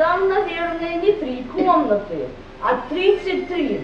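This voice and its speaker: Amid light background noise and audible room echo, a woman speaks very slowly at an extremely high pitch. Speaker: amateur stage actor. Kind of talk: theatrical monologue. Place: hall. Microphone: camera far.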